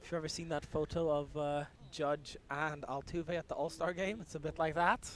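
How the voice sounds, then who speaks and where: A man talks at a moderate pace and fairly high pitch with fairly even intonation, in an ordinary speaking voice. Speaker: play-by-play commentator. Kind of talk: live sports play-by-play commentary.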